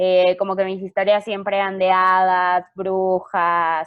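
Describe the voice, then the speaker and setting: A woman speaks with a Mexican accent. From Mexico. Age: 20s. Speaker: novelist. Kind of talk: interview.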